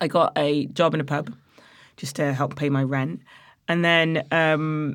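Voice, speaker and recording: The speaker has a slight East Midlands accent, captured in a very clean recording with a silent background. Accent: Nottingham East Midlands English, slight. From Nottingham, England. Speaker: head brewer and author. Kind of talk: casual interview chat.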